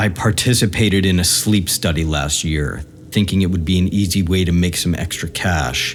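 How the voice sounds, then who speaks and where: A man speaks with a very deep, low pitch. His pace is moderate. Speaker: horror story narrator. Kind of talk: horror story narration.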